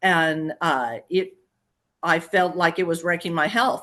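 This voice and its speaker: A woman speaks at a moderate pace. Her pitch is medium, and the background is quiet. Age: 60s. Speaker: program client giving testimonial. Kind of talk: testimony interview. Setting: live video interview. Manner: halting, many fillers.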